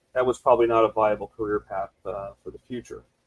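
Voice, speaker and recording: Speaking fairly quickly, a man uses an American accent. The sound is dry and close, with no echo. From South Florida. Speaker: window and door business owner. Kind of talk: casual interview. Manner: halting.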